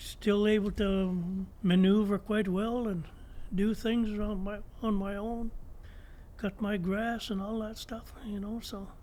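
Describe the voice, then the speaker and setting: With monotone, flat intonation, a man speaks in a high pitch and a dark, mellow tone. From Ontario, Canada (Curve Lake First Nation). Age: 80s+. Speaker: former First Nation chief and elder. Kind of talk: interview. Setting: podcast interview. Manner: reflective.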